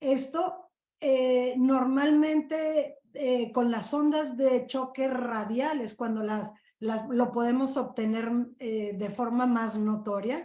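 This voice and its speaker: Pitch varies in an ordinary way as the speaker moves at a very slow pace. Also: woman, high pitch for a woman. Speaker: physician. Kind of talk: lecture.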